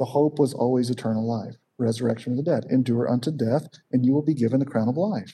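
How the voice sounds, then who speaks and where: A man speaks at a very fast pace in a medium-pitched, somewhat breathy voice with a dark, mellow tone. His pitch varies in an ordinary way while his loudness stays very even. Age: 50s. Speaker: seminary professor and Bible teacher. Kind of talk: Bible study teaching. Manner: casual with many fillers.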